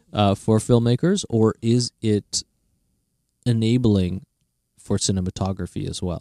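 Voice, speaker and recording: A man's fairly low voice with a dark, mellow tone, fairly slow pace and long, frequent pauses, in a dry, close sound with no echo. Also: ordinary pitch variation. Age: 40s. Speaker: podcast host. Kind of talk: interview. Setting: studio.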